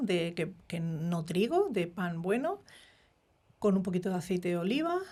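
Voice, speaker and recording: Medium pitch from a woman, delivered at a fairly slow pace. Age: 60s. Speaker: microbiota expert doctor. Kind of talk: interview. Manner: halting.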